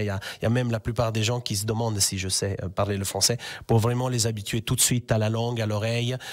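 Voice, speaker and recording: A man speaks very fast in an Italian accent, his medium pitch held in a monotone, flat intonation. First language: Italian (speaking French). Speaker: language teacher. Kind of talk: radio interview.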